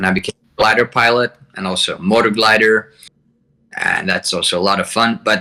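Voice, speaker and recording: Bright and sharp in tone, a man's fairly low voice moves at a fairly quick pace. His intonation stays monotone and flat. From Hungary. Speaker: flight sim campaign designer. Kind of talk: interview.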